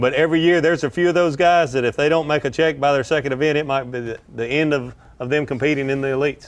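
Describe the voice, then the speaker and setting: A man with a slight Southern US accent and ordinary pitch variation, on a very clean recording with a silent background. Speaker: pro angler and fishing analyst. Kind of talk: live tournament commentary.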